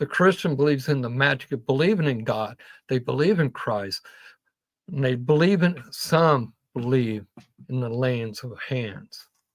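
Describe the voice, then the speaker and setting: A man talks in a plain, everyday voice at a medium pitch. His intonation is lively and his pace moderate. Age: 60s. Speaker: witchcraft practitioner and co-host. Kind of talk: casual chat.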